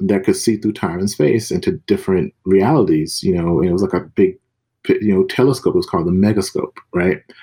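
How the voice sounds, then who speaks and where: A man with an American accent talks at a moderate tempo on a very clean recording with a silent background. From US South, Mississippi. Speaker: comics author and editor. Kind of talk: casual interview.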